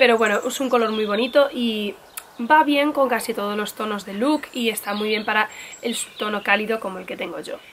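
The voice has a fairly bright tone and ordinary pitch variation, moving at a fairly quick pace with few pauses. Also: woman, medium pitch for a woman.

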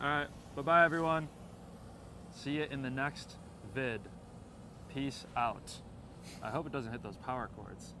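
A man's fairly high, bright, sharp voice in an upbeat tone, with ordinary pitch variation, big swings in loudness and long, frequent pauses, the sound dry with no echo amid noticeable background noise. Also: moderate pace. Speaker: travel vlogger. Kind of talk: travel vlog narration. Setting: outdoors. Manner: quieter in residential areas; casual, upbeat.

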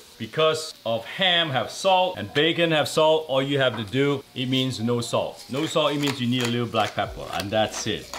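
A man at a moderate pace, with ordinary pitch variation over noticeable background noise. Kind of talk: tutorial. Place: kitchen.

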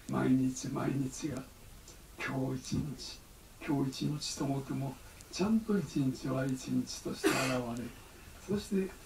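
There is audible room echo and light background noise around a man. He speaks at a fairly slow pace with lively intonation and long, frequent pauses. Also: medium pitch for a man. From Japan. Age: 80s+. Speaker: Zen abbot. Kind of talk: dharma talk. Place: church. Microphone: camera far.

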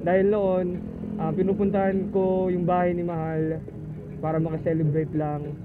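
A man at a moderate pace with fairly even intonation, music in the background. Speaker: moto vlogger. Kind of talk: casual vlog chat. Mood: cheerful, festive. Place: motorbike.

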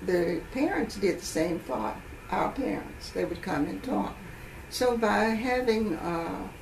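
With very wide pitch swings around a fairly low pitch, a woman speaks at a very slow pace amid audible room echo and light background noise. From Huntsville, Alabama. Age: 80s+. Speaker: retired educator. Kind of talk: oral history interview answer. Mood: calm, reflective storytelling. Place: home room.

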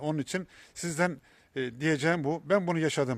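At a moderate pace, a man with a fairly high voice speaks on a very clean recording with a silent background and a dry, close sound with no echo. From Ordu, Turkey. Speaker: cancer patient vlogger. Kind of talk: vlog monologue. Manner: halting, many fillers.

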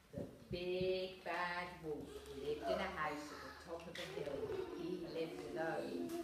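The speech moves at a fairly slow pace. Loud background noise and audible room echo surround it. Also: woman. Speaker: storyteller reading to children. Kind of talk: story reading to young children. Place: hall. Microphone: camera far.

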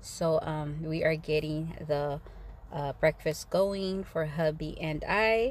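Very slowly and at a very deep, low pitch, a woman speaks with ordinary pitch variation. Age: 40s. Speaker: homemaker. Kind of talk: vlog voiceover. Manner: warm, friendly.

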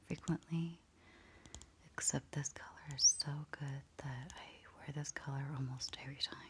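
Soft-spoken delivery under noticeable background noise. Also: fairly slow pace. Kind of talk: ASMR soft-spoken talk.

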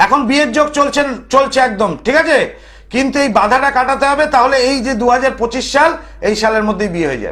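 An extremely high-pitched man's voice with ordinary pitch variation. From Kolkata, West Bengal, India. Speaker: TV astrologer and tantric storyteller. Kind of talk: phone-in TV show with religious storytelling.

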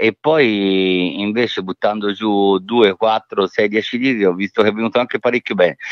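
A man talks with a slight Tuscan accent. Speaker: author. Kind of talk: interview. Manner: halting, repeats words.

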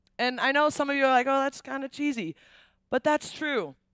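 A woman speaks at a moderate pace in a high pitch with a bright, sharp tone. The sound is dry with no echo, and the background is quiet. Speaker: speaker. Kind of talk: sermon. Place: stage. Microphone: headset.

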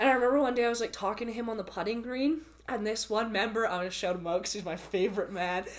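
A woman talks very fast in a Canadian accent. Her pitch sits fairly high, with ordinary variation. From Calgary, Canada. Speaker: university student. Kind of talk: casual chat. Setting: in person. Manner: talkative. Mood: warm, laughing. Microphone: camera far.

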